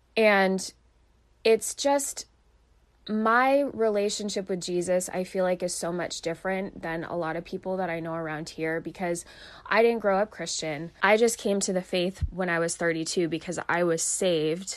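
In an ordinary speaking voice, a woman with a medium pitch talks at a moderate pace, her pitch varying in an ordinary way. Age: 30s. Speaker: life coach and faith podcast host. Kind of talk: casual solo podcast talk. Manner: conversational, laughing at times.

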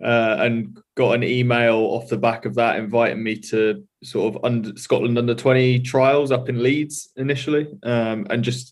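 With an English accent, a man speaks at a moderate pace in a medium pitch with hardly any pauses. His intonation is fairly even. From England, Norfolk. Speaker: rugby player. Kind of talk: interview. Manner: halting.

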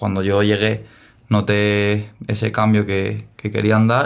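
Fairly low pitch and a fairly slow pace from a man with a normal speaking voice. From Spain, Dénia (Valencian Community). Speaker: professional footballer. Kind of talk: interview.

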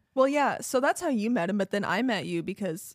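On a very clean recording with a silent background, an ordinary speaking voice moves at a moderate pace with lively intonation, the sound dry and close with no echo. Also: woman. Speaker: podcast co-host. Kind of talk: casual chat. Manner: laughs often.

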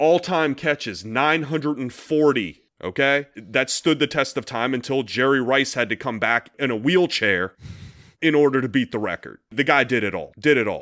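A man speaks at a moderate pace with an animated, bright and sharp tone and ordinary pitch variation. The recording is very clean with a silent background. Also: medium pitch for a man. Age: 40s. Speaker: sports podcast co-host. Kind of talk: casual chat.

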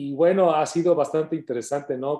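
A man talks in a dark, mellow tone with a Mexican accent. The background is quiet. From Mexico (Colima, Jalisco). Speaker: radio host. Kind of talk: interview. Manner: reserved off-air, energetic on-air.

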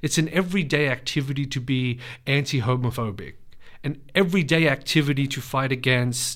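An Australian accent at a moderate pace, with ordinary pitch variation. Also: man. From Western Sydney, Australia. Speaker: poet. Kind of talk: interview. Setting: studio.

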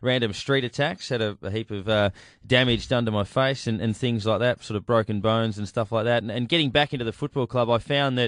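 A man with an Australian accent at medium pitch, a fairly quick pace, fairly even intonation and hardly any pauses. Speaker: radio host. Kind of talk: radio talk show. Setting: studio.

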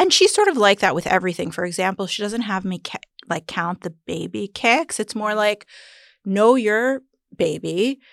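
Speaking at a moderate pace with an American accent, a woman has a medium pitch, ordinary pitch variation and some vocal fry, captured in a very clean recording with a silent background. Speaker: entrepreneur and mother. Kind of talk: casual chat, personal birth story.

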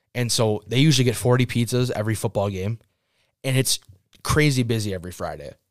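The speaker talks at a very fast pace with an American accent. The sound is dry and close with no echo. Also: man, medium pitch for a man, ordinary pitch variation, very clean recording, silent background. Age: 20s (about 20). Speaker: pizza shop worker and mason. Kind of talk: casual chat. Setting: studio.

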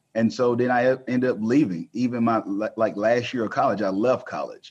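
Fairly even intonation carries speech at a moderate pace. Little sound comes from the quiet background. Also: man. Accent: Texan. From rural northeast Texas. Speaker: self-publishing company founder. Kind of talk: podcast interview.

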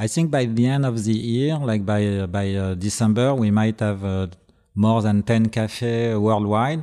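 Fairly low-pitched, this man speaks with a French accent and a dark, mellow tone. His pitch varies in an ordinary way. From Brittany, France. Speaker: record label co-founder. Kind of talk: casual interview chat. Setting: studio. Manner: halting, hesitant.

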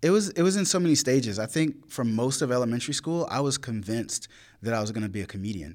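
Very fast, medium-pitched male speech in an eastern North Carolina accent, with very wide pitch swings, on a very clean recording with a silent background. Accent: Southern US (eastern North Carolina). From rural eastern North Carolina. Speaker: poet. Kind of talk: casual interview. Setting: university venue after live event.

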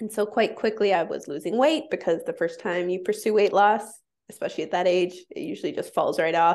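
A woman's unremarkable speaking voice, medium in pitch, at a fairly quick pace against a quiet background. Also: lively intonation. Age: 30s. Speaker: intuitive eating counselor. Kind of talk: casual chat.

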